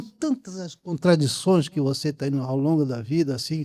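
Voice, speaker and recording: Speaking at a fairly slow pace, a man with a fairly high pitch and a dark, mellow tone shows ordinary pitch variation. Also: very clean recording, silent background. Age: 80s+. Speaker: film director. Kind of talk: post-screening Q&A with audience. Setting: cinema auditorium with live audience. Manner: halting, many repetitions and restarts.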